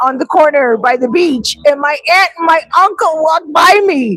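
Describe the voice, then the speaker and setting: A woman speaks fairly slowly with an animated tone and lively intonation. Music plays in the background. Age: 50s. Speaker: vlogger and real estate agent. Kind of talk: casual chat. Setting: live stream.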